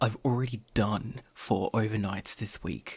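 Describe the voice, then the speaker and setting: A man puts on a character voice. It sits at a fairly low pitch and moves at a fairly slow pace. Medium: audio drama.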